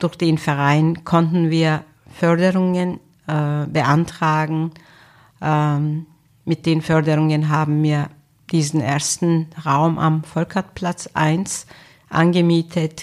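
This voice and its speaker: A woman's very deep, low voice at a very slow pace, monotone and flat, with long, frequent pauses, on a very clean recording against a silent background. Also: very even loudness. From Turkey. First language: Turkish (speaking German). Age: 50s. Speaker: social worker, association founder. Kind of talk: interview. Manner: hesitant with filler sounds.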